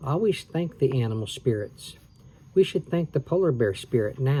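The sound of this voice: An unforced reading voice, its intonation lively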